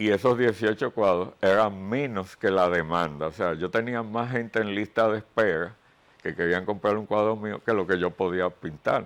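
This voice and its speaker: Moderate pace against a quiet background. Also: man, fairly low pitch for a man, ordinary pitch variation. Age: 60s. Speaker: painter. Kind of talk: interview. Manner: hesitant fillers.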